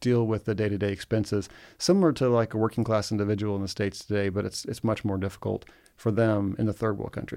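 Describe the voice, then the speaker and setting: A man speaks in a fairly low voice with an American accent, on a very clean recording with a silent background. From Egypt (American expatriate). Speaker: real estate investor. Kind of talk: casual interview.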